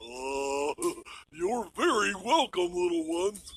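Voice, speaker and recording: Putting on a cartoonish character voice, a man speaks at a high pitch and a fairly slow pace. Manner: hesitant, folksy, with many "uh"s.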